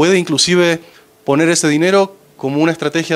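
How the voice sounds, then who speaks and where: A man with an Argentine accent. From Argentina. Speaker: finance executive. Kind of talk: presentation to audience. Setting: panel talk with audience. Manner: hesitant, many fillers.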